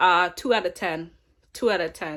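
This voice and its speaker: Over a very clean recording with a silent background, a woman talks at a moderate pace and medium pitch. Her tone is animated, with ordinary pitch variation. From Canada. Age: 20s. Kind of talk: casual storytime to camera. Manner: casual, profane, animated.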